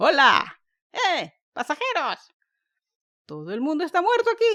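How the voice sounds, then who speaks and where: A woman shouts in a hoarse, put-on character voice at an extremely high pitch, swinging very widely, at a fairly slow pace. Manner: shouting.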